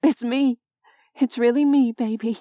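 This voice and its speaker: A woman's put-on character voice, high-pitched and monotone with flat intonation, at a moderate pace in a dry, close sound with no echo. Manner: soft, tender murmur.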